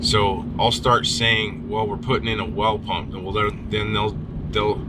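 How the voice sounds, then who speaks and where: A man speaks with a fairly low pitch. Noticeable background noise and audible room echo surround him. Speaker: well pump contractor crew lead. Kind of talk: reality show interview.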